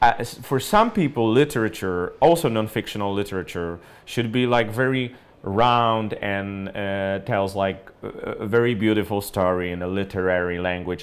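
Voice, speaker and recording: A man with a Polish accent, fairly low in pitch, at a moderate pace with ordinary pitch variation. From Poland. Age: 30s. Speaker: journalist and writer. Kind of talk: book recommendation monologue. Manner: hesitant, many fillers. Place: home room.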